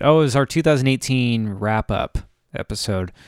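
A man talks at a moderate pace with lively intonation, in an unremarkable speaking voice. The sound is dry and close, with no echo. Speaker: podcast host. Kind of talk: casual chat.

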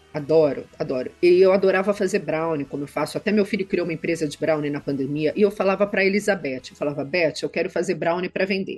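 A woman talks at a very fast pace, with hardly any pauses. Her pitch varies in an ordinary way. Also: fairly low pitch for a woman. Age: 50s. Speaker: federal judge. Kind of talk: interview.

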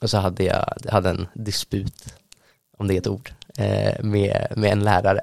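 His pitch is fairly low and his intonation monotone and flat. The man speaks at a moderate pace with long, frequent pauses. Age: young. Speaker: student and church youth leader. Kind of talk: casual interview. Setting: studio.

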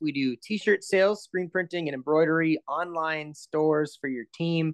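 With an American accent, a man uses a normal speaking voice and fairly even intonation, recorded dry and close with no echo against a quiet background. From Minnesota. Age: 30s. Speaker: podcast co-host. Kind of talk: casual interview chat.

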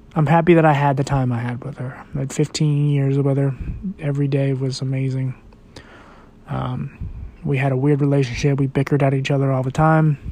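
A man talks at a fairly quick pace in a monotone, flat intonation over noticeable background noise. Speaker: podcast host. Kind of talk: personal monologue. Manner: rambling, hesitant with many ums.

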